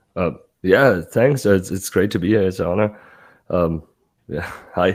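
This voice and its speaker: A man speaks at a fairly slow pace in a very deep, low voice with ordinary pitch variation. The recording is very clean, with a silent background. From Germany, Munich. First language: German. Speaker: sports fan guest. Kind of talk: casual chat. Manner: halting.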